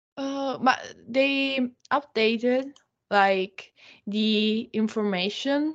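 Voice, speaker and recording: A woman at a very slow pace, fairly high in pitch, with fairly even intonation. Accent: Italian. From northern Italy. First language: Italian. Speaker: YouTuber. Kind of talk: casual interview. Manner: halting.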